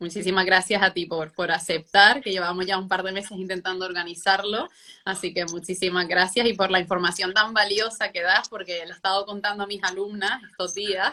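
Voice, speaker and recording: A fairly quick, monotone, flat delivery with hardly any pauses, in a Canarian accent. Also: woman, medium pitch for a woman. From Canary Islands (Gran Canaria). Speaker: pilates instructor. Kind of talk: online interview.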